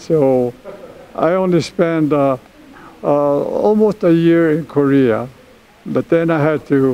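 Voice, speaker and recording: Noticeable background noise sits behind a man with an American accent. His voice is fairly high with ordinary pitch variation, and he talks at a very slow pace. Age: 90s. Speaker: war veteran. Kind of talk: interview. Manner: halting.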